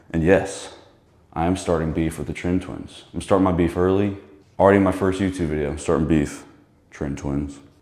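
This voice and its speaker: A man speaks at a fairly quick pace in a very deep, low voice with ordinary pitch variation. Room echo is audible. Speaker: fitness vlogger. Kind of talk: casual gym vlog. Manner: loud; casual, rambling.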